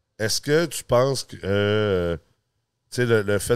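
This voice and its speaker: A man speaks at a medium pitch with ordinary pitch variation. The recording is very clean and silent behind him, with a dry, close sound and no echo. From United States, then Quebec from age 10. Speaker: podcast host, real estate college president. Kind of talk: casual interview chat. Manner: hesitant, many fillers.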